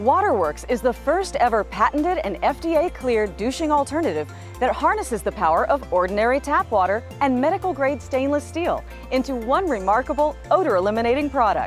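A woman speaks at a fairly quick pace in an upbeat tone, with faint music behind her and a dry sound that has no echo. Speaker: infomercial host. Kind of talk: TV infomercial read.

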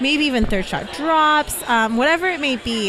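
A woman speaks in an enthusiastic tone. The sound is dry with no echo, and background noise is noticeable. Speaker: pickleball pro. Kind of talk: casual chat. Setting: outdoors.

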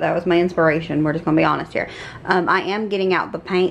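There is light background noise behind a woman speaking. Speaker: home renovation vlogger. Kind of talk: casual vlog chat. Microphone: phone near.

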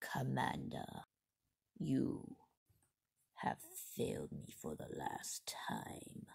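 A raspy male voice at a very slow pace, with long, frequent pauses. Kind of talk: amateur villain voice acting. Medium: comedy sketch. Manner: menacing, cold, commanding.

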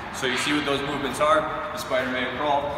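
A man talks over loud background noise, with audible room echo around him. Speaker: coach. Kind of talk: tutorial. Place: gym.

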